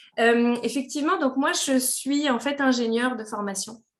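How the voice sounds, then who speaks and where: The woman here speaks at a high pitch. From France. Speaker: engineer and company director. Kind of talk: podcast interview. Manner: hesitant, many fillers.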